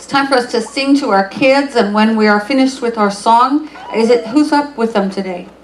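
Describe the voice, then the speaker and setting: A woman speaks at a fairly high pitch with ordinary variation in her intonation. The room echo is audible, and there's noticeable background noise. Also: moderate pace. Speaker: pastor. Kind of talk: church service welcome and announcements. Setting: church. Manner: casual, halting.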